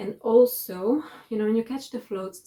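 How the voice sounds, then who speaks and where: Breathy to some degree, a woman's voice has a dark, mellow tone. She speaks fairly slowly with ordinary pitch variation. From Italy. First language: Italian. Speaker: knitting vlogger and designer. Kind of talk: casual monthly video chat. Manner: halting, many fillers.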